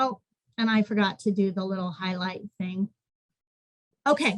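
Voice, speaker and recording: A woman's voice comes across as somewhat breathy. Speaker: education program coordinator. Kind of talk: webinar presentation.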